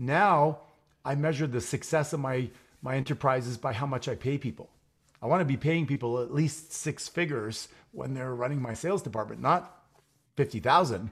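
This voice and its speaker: A man talks at a fairly quick pace, his voice fairly high and somewhat breathy. His pitch moves with ordinary variation. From Quebec (Montreal). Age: 50s. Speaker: entrepreneur and real estate investor. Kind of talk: interview.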